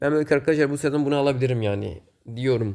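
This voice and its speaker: A man speaks very fast in a dark, mellow tone, his pitch medium with ordinary variation. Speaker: gaming YouTuber. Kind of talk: gameplay commentary. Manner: casual, filler-heavy.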